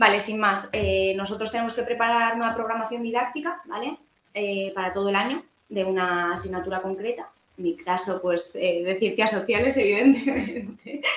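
The voice is an ordinary speaking voice. Its pitch moves up and down in an ordinary way. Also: woman, fairly high pitch for a woman, moderate pace. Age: 20s. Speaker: primary school teacher. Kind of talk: interview.

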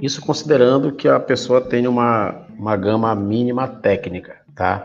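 A man's fairly slow, medium-pitched delivery with lively intonation and music in the background. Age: 40s. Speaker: production engineer and professor. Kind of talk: interview.

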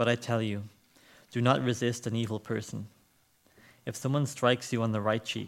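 Medium pitch from a man, fairly even intonation, moderate pace. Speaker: church service leader. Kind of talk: church service welcome and prayer. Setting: church.

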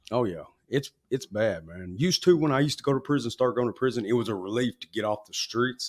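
A man's medium-pitched voice with an Arkansas accent, lively intonation and a very fast pace, in a dry, close sound with no echo. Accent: Southern US (Arkansas). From Arkansas, US South. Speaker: former gang member in recovery. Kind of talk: interview, personal testimony.

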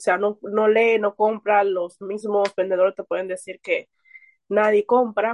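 Fairly even in intonation, a woman talks at a fairly slow pace and fairly high pitch in an ordinary speaking voice. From Dominican Republic, Santo Domingo. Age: 20s. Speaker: book reader and painter. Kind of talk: casual chat.

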